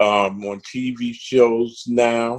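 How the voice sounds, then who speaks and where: The man's voice sits at a medium pitch. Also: dry, close sound with no echo. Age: 60s. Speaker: actor and theatre director. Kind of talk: interview.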